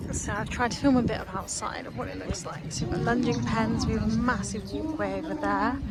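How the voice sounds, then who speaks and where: A woman speaking at a very fast pace, amid noticeable background noise and audible room echo. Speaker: equestrian commentator and vlogger. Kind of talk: casual vlog narration. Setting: outdoors at equestrian venue. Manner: soft-spoken.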